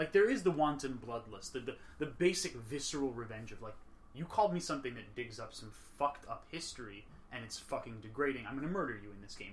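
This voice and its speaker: Somewhat breathy, a man talks at a very fast pace with big swings in loudness. Room echo can be heard. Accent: American. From New York. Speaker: podcast host. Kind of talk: casual chat. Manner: animated.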